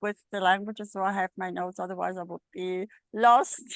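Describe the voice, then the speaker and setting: A woman at a moderate pace and medium pitch, monotone and flat in intonation, in a dry, close sound with no echo. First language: Italian. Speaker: medical astrologer. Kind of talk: casual chat. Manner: halting.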